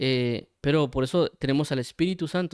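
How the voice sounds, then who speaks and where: A man speaks with a fairly high voice and fairly even intonation. The sound is dry and close, with no echo. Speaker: Bible teacher. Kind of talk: sermon. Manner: stutters at times; many fillers, hesitant.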